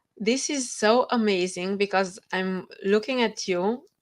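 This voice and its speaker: A woman speaks at a very slow pace. She has a Romanian accent. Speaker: author. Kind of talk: interview.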